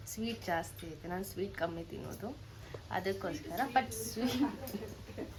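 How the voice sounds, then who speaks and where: Audible room echo surrounds the voice. Noticeable background noise is also present. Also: woman. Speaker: vlogger. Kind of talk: casual vlog talk.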